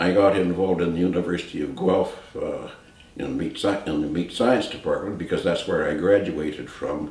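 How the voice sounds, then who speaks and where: The speaker has a Canadian accent and a moderate pace. There is noticeable background noise and audible room echo. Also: man. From Canada, rural Ontario. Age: 80s+. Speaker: retired business executive and philanthropist. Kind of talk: personal testimony interview.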